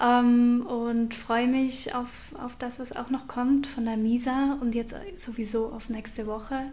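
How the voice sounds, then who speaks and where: With hardly any pauses, a woman speaks at a very slow pace in a high pitch with monotone, flat intonation over noticeable background noise. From Switzerland, Aargau. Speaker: podcast host. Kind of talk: interview.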